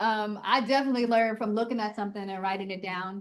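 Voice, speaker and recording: A woman talking at a very fast pace against a quiet background. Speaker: trainer. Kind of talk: training presentation.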